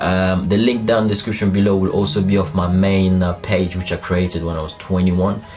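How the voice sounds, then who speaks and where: Over music in the background and audible room echo, a man with a very deep, low voice speaks at a moderate pace with fairly even intonation. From DR Congo. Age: 20s. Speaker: YouTuber. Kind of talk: casual vlog talk. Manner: conversational, with fillers.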